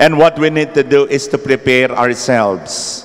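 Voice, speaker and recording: The background stays quiet. A man's speech proceeds fairly slowly. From Philippines. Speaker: preacher. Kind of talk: sermon, Tagalog-English mix, urgent homily on end times and spiritual battle. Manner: earnest, solemn, exhorting. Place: church. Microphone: handheld.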